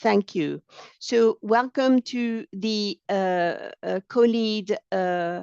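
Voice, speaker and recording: In a French accent, a woman speaks very slowly at a fairly high pitch with ordinary pitch variation. The sound is dry and close with no echo, over a quiet background. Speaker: training project officer. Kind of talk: software demonstration tutorial. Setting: online webinar. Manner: halting, many fillers.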